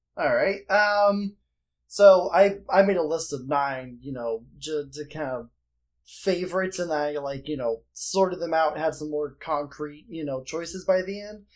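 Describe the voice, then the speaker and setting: A man speaks in a plain, everyday voice at a fairly high pitch with ordinary pitch variation. His loudness shows big swings. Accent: American. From northern US. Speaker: podcast guest. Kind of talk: casual chat.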